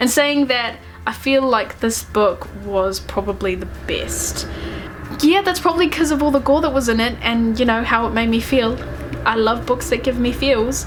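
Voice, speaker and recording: In a New Zealand accent, a woman talks with ordinary pitch variation over noticeable background noise. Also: fairly high pitch for a woman, moderate pace. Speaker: book reviewer. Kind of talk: casual talk to camera.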